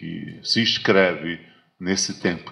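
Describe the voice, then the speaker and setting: This man's pitch is very deep and low. His pace is very slow. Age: 60s. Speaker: lecturer on African philosophy. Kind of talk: lecture. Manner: halting, many repetitions and fillers.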